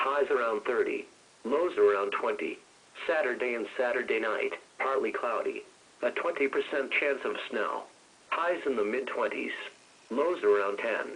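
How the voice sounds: At a fairly slow pace, a man talks with a medium pitch, a fairly bright tone and ordinary pitch variation.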